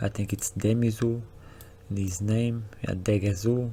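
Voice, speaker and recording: Speaking in a flat monotone at a fairly slow pace, a man talks with a fairly low pitch. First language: not English. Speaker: anime reaction youtuber. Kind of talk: casual episode recap commentary. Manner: casual, hesitant with fillers and restarts.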